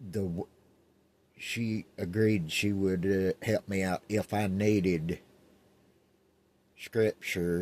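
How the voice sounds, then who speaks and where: A man with a very deep, low voice at a very slow pace, ordinary pitch variation, and a dry, close sound with no echo. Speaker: car hobbyist vlogger. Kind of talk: casual vlog.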